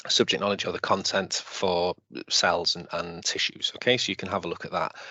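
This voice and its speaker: A man with a Welsh accent. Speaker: teacher. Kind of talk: lecture. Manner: halting, many fillers.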